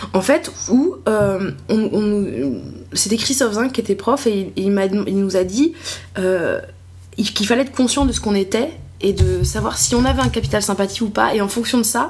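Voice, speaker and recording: A woman speaks at a medium pitch with lively intonation. Noticeable background noise runs underneath. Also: moderate pace. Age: 20s. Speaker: comedian. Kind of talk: casual chat. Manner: animated; halting.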